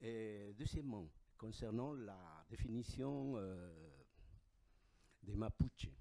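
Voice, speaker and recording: A man with an Andean accent speaks in a dark, mellow tone at a fairly low pitch. His pace is very slow, with long, frequent pauses, yet his intonation is lively. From Bolivia. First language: Aymara (speaking French). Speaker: audience member asking a question. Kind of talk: audience question and comment.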